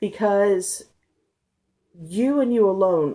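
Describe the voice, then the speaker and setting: A woman speaks at a very slow pace in a dark, mellow tone with ordinary pitch variation. The recording is very clean, with a silent background. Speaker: tarot reader. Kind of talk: casual talk to camera, tarot reading.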